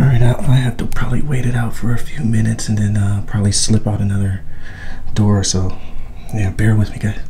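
Fairly quick speech from a man with a fairly low voice and fairly even intonation, over light background noise. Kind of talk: casual vlog chat. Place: empty room. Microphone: phone near.

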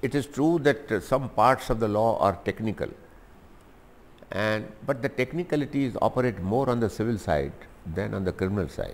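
Vocal fry marks this man's voice. He keeps a moderate pace with long, frequent pauses. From India. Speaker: lawyer and politician. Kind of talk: interview answer. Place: home room. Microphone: lapel.

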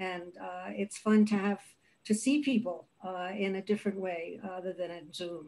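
A woman's medium-pitched, dark, mellow voice with a New York accent, ordinary pitch variation and big swings in loudness. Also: moderate pace. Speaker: career coach. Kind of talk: panel discussion. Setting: video call.

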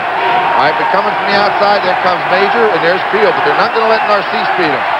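With crowd noise behind him, a man speaks at a very fast pace. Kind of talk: live commentary. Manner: measured, explanatory analyst tone, calm and knowing.

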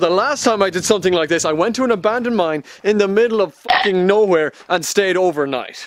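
A man with an Irish accent speaks high in pitch with lively intonation. His pace is fairly quick, in a dry sound with no echo. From Ireland. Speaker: travel vlogger. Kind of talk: casual talk to camera.

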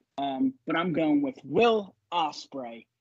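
Here a man has an ordinary speaking voice. His pitch is fairly high, with ordinary pitch variation. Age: 30s. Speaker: wrestling podcaster. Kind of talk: casual chat.

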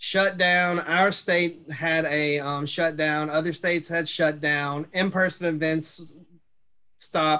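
A man with a Mississippi accent speaks at a fairly slow pace in a fairly high, bright, sharp voice. His intonation is monotone and flat against a quiet background. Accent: Southern US (Mississippi). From Mississippi, US South. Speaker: social worker, transition specialist. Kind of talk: webinar presentation. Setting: video call. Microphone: webcam.

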